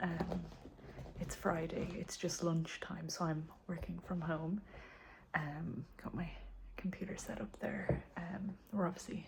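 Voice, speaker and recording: A woman whispers with an Irish accent. Her pace is fairly slow. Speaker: homesteading vlogger. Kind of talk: casual vlog update. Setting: home. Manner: whispering.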